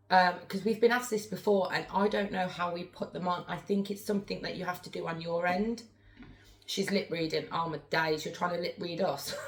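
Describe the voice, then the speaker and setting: The speech moves at a fairly quick pace. Its pitch varies in an ordinary way, over noticeable background noise. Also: woman, medium pitch for a woman. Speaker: spirit board medium, live streamer. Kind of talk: live stream chat. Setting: live stream. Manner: fast.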